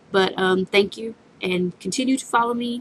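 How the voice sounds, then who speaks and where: A woman with a Southern US accent, medium pitch and ordinary pitch variation, at a moderate pace, in a dry, close recording with no echo. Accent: Southern US accent, noticeable. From US South. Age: 20s. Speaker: vlogger. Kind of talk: casual Q&A vlog. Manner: hesitant, many fillers.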